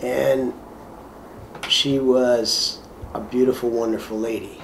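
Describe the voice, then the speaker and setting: Amid noticeable background noise and audible room echo, a man speaks very slowly in a monotone, flat way. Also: medium pitch for a man. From Ontario, Canada. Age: 60s. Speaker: shelter resident. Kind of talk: testimony; casual chat.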